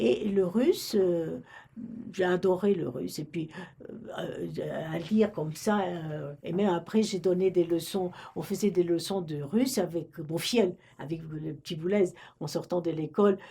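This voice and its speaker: A woman speaks at a fairly slow pace and a fairly low pitch, with ordinary pitch variation. Her tone is dark and mellow, and somewhat breathy. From Romania, French-speaking family. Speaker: retired librarian. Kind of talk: oral history interview. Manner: halting, many hesitations.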